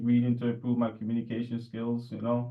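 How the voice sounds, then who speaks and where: A man with a New York accent talks at a fairly quick pace and medium pitch, with audible room echo. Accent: New York American. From New York (Jamaica Queens). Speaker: podcast co-host. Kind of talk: casual chat. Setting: remote call at night.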